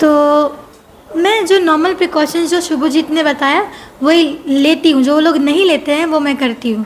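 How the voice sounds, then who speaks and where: Soft-spoken delivery with ordinary pitch variation over noticeable background noise. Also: woman, high pitch for a woman. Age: 20s. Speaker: singing contestant. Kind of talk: casual interview.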